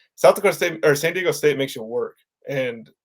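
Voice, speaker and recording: Recorded very cleanly against a silent background, a man speaks at a fairly quick pace. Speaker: sports podcast co-host. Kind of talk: casual sports podcast chat. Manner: fast.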